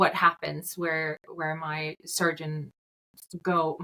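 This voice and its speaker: In a Swedish accent, a woman speaks at a fairly low pitch with a bright, sharp tone, recorded dry and close with no echo. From Sweden. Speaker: medtech company founder. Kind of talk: interview. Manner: frequent hesitations and fillers.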